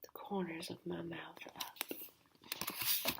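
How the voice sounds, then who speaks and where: A woman is whispering. She is soft-spoken. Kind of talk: whispered novel reading. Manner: whispered, soft-spoken.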